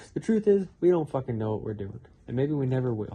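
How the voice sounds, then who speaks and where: The tone is dark and mellow. This man sounds somewhat breathy. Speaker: YouTuber. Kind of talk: casual chat. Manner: slurs speech at times.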